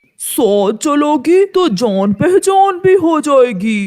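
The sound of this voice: A cartoonish character voice moves very slowly through very wide pitch swings. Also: man, extremely high pitch for a man.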